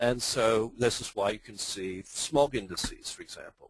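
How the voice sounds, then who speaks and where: With an Australian accent, a man speaks at a moderate pace and medium pitch, the sound dry and close with no echo. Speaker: finance professor. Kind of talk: lecture. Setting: webinar. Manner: hesitant, many fillers.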